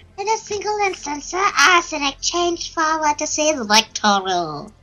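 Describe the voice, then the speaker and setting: A woman's put-on character voice in a British accent, extremely high and squeaky, with very wide pitch swings at a moderate pace. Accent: fake British. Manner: put-on, mocking.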